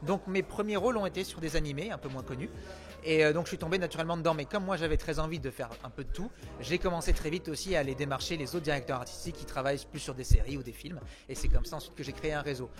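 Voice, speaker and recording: Music plays in the background as a man with a fairly high pitch talks at a very fast pace in an energetic tone, with ordinary pitch variation and big swings in loudness. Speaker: voice actor (French dubbing). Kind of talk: interview answer.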